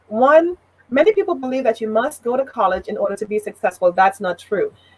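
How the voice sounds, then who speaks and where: A woman with a high pitch and very wide pitch swings speaks at a fairly quick pace, with a dry, close sound with no echo. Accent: Trinidadian. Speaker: business consultant and leadership trainer. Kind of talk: talk show interview.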